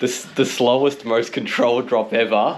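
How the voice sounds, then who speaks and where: A man with an Australian accent speaks at a moderate pace in a medium pitch. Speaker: motorcycle vlogger. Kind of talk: casual travel vlog.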